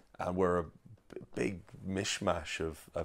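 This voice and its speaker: A man's very deep, low voice in an Irish accent, monotone and flat. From rural Ireland, raised by Irish parents. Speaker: songwriter and performer. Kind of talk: interview. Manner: halting, many fillers.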